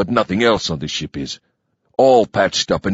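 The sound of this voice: This is an unforced reading voice with lively intonation. The background is quiet.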